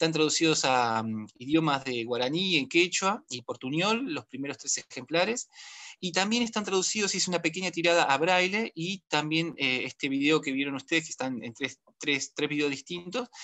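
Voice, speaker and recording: The speaker is a man with a fairly high pitch. His intonation is lively. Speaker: history teacher and children's book author. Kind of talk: virtual panel talk. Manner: fast; hesitant, many fillers.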